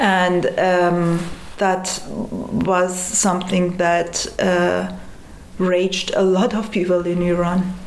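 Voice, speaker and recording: There is noticeable background noise and audible room echo as a woman talks at a medium pitch, her intonation monotone and flat and her loudness very even. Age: 30s. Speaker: activist. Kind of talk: interview.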